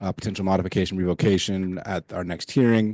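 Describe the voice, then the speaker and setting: A man speaks in a very deep, dark and mellow voice with flat, monotone intonation. The sound is dry and close with no echo, against a quiet background. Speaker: county planning staff. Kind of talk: public meeting report. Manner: fast.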